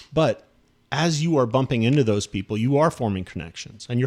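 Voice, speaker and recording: This is an ordinary speaking voice with an American accent. The intonation is lively. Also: man. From Southern California. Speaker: podcast host. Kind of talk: casual interview chat.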